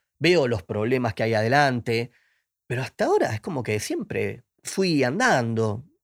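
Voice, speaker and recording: A man in a Rioplatense accent at medium pitch, with ordinary pitch variation and a fairly slow pace, in a dry, close sound with no echo on a very clean recording with a silent background. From Argentina, Buenos Aires. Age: 40s. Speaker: film director. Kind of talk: interview.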